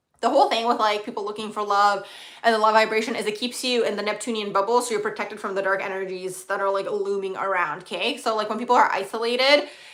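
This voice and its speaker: A woman's fairly high voice at a very fast pace with hardly any pauses, fairly even intonation and audible room echo. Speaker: astrologer livestream host. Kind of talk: live stream Q&A, casual chat. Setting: live stream.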